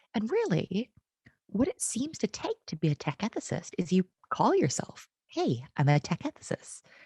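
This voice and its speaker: With an American accent, a woman talks at a moderate pace in a medium pitch, somewhat breathy and dark, mellow in tone, her pitch swinging very widely, recorded dry and close with no echo. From United States. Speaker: tech consultant, conference keynote speaker. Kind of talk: conference keynote talk. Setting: online conference. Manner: animated, casual and jokey.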